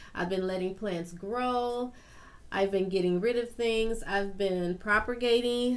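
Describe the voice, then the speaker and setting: The speaker is a woman with a medium pitch. She talks fairly slowly, with fairly even intonation. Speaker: gardening YouTuber. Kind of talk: casual tutorial vlog. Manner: halting, self-correcting.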